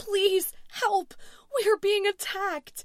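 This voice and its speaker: Someone shouts in a squeaky voice. The pace is fairly slow. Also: woman, extremely high pitch for a woman. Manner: screaming.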